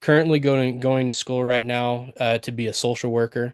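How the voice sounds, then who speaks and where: A man with an American accent talks at medium pitch. His intonation is monotone and flat. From central Utah, US. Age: 20s. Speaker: job applicant. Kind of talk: job interview answers. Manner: hesitant, many fillers.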